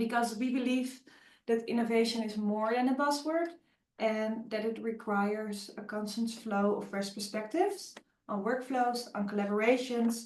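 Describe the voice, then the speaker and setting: A woman speaks with a fairly high pitch. Her intonation is fairly even. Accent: Dutch. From Netherlands. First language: Dutch. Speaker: webinar host, agile coach. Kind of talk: webinar presentation. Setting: online webinar. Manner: hesitant, many fillers.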